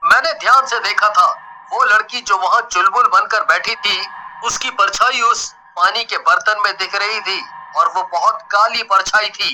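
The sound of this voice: A man's cartoonish character voice, high-pitched with a bright, sharp tone, fairly slow with few pauses and ordinary pitch variation.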